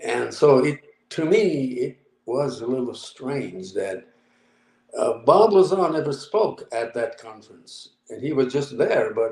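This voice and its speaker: This man has a fairly high voice and lively intonation. He talks very slowly. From Japan. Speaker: UFO researcher. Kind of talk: interview answer.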